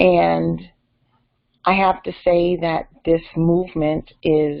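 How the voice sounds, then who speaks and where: A woman speaks with an American accent. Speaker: vlogger. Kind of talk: personal vlog monologue. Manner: hesitant with frequent fillers.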